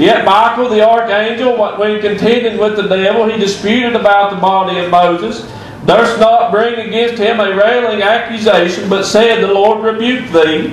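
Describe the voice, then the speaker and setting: At a moderate pace, a man with a high pitch and fairly even intonation speaks amid light background noise and audible room echo. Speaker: preacher. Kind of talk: sermon. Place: church.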